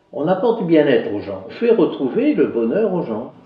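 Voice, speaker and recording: Through audible room echo, a man talks at a moderate pace with very wide pitch swings. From northern France, Somme (Picardy). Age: 60s. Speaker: retired garage owner, addiction support volunteer. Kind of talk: documentary interview. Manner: halting.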